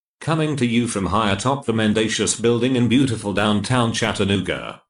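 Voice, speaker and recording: A man's normal speaking voice with fairly even intonation over a quiet background. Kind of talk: show intro announcer.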